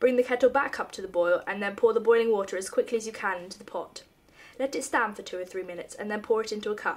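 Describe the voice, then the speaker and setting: A woman talks at a very fast pace with ordinary pitch variation. Her loudness swings widely. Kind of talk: reading of a humorous essay.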